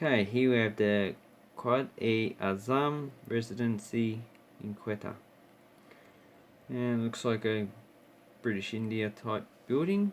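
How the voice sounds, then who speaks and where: With an Australian accent, a man talks at a fairly slow pace and a medium pitch. His pitch variation is ordinary, and he takes long, frequent pauses. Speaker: coin and banknote collector YouTuber. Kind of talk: casual show-and-tell video. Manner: hesitant, with filler words.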